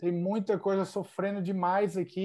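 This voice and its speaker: A man's high-pitched voice of dark, mellow tone at a moderate pace. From southern Brazil, Santa Catarina (Joinville). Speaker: futsal player. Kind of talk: interview.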